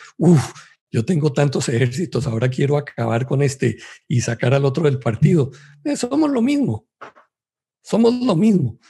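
Somewhat breathy and dark, mellow in tone, a man's fairly high voice swings very widely in pitch at a moderate pace, with long, frequent pauses. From Colombia. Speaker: Bible study panelist. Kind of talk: religious Bible study discussion.

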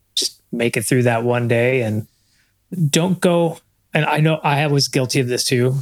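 A normal speaking voice from a man, medium in pitch, with fairly even intonation. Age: 50s. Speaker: marketing coach and runner. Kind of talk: casual chat.

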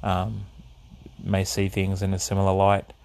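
A man speaks at a moderate pace with an Australian accent, his pitch fairly low. The recording is very clean, with a silent background. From Australia (east coast), early years in the Netherlands. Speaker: podcast host, drummer. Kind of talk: solo monologue. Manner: hesitant, many fillers.

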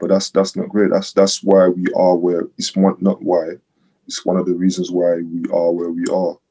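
A man's very deep, low, dark, mellow voice, monotone and flat in intonation, at a moderate pace. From French-speaking Africa. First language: French. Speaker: podcast guest. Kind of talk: personal testimony.

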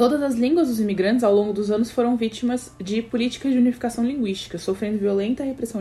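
Against noticeable background noise, a woman with a Brazilian accent speaks at a fairly high pitch with ordinary pitch variation. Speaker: podcast host. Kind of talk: educational podcast commentary. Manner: frequent fillers and repetitions.

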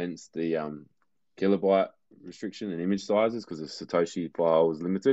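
A man with an Australian accent speaks at a fairly quick pace in a very deep, low voice with ordinary pitch variation. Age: 30s. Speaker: visual artist, former electrician. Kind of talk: interview.

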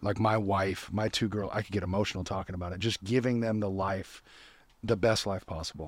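Someone with an American accent speaks at a fairly quick pace with fairly even intonation on a very clean recording with a silent background. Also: man, fairly low pitch for a man. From US West Coast, California. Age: 30s. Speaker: business owner, CEO. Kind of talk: casual interview chat.

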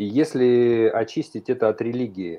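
A man at a very slow pace. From Kyrgyzstan. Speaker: panel regular. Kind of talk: online radio talk.

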